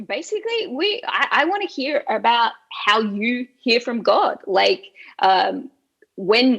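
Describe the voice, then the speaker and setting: A woman with an Australian accent speaks in a high voice. Her pace is very slow and her pitch swings very widely. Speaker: interviewer, ministry leader. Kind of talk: interview.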